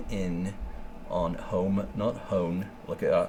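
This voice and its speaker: Recorded with audible room echo, a man speaks with ordinary pitch variation. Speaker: photographer. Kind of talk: tutorial. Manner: casual, filler-heavy.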